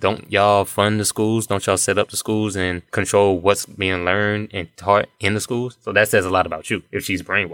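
A man with a bright, sharp tone and a fairly low pitch speaks at a fairly quick pace with fairly even intonation, in a dry, close sound with no echo on a very clean recording with a silent background. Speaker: hip-hop artist. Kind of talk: casual chat.

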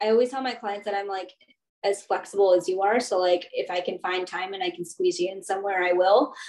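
In an American accent, a woman talks at a fairly quick pace with fairly even intonation in a normal speaking voice. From US, Baltimore County, Maryland. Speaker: therapist. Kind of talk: interview.

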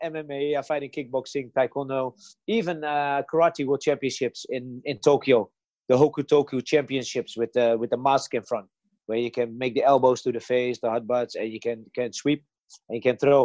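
A man with a Dutch accent talks at a moderate pace in a fairly high pitch, his tone dark and mellow. The sound is dry and close with no echo, against a quiet background. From Netherlands. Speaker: martial arts champion and coach. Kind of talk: interview. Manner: halting.

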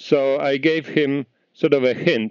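A man speaks with a Polish accent. His intonation is fairly even. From Poland, small town. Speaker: architect and heritage foundation organizer. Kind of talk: interview. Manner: halting.

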